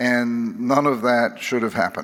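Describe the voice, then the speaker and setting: A man's medium-pitched voice at a fairly slow pace. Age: 60s. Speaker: psychiatrist and author. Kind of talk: keynote speech. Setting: stage with audience. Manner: halting.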